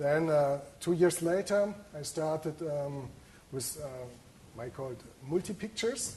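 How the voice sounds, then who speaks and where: The man's voice is dark, mellow and somewhat breathy, with a German accent. Audible room echo surrounds it. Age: 40s. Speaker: photographer. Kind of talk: lecture. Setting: lecture hall with audience. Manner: halting.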